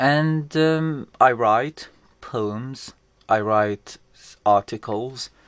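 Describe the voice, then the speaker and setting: Recorded very cleanly over a silent background, a man speaks with ordinary pitch variation. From western Iraq. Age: 30s. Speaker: journalist. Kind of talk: interview.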